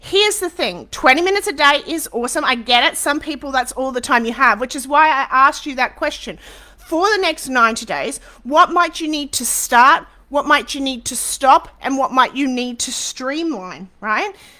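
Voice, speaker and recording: A woman's high-pitched, raised and projected voice, animated in tone, with lively intonation. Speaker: social media business coach. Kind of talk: live webinar masterclass. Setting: Facebook live stream. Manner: fast.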